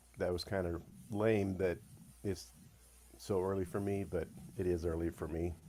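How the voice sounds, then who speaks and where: A man speaks at a moderate pace in a fairly low pitch. His tone is dark and mellow. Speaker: author, guest. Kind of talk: podcast discussion. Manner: halting, repeats words.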